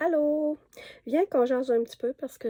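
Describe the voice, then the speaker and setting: A woman speaks fairly slowly in a dark, mellow tone, with a dry, close sound with no echo. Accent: Quebec. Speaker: knitting shop owner, vlogger. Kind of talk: casual storytelling. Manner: hesitant, many fillers; amused, laughing.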